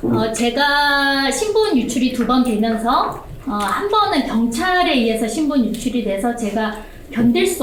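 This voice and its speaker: Speaking at a very slow pace, a woman uses a high pitch and lively intonation. Noticeable background noise and audible room echo fill the recording. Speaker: whistleblower speaking from the floor. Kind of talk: testimony at a public forum. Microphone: speaking without a microphone.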